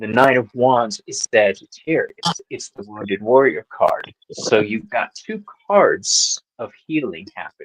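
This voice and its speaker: A man speaks at a fairly slow pace with big swings in loudness, the sound dry and close with no echo. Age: 50s. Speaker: tarot reader. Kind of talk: tarot reading on live panel.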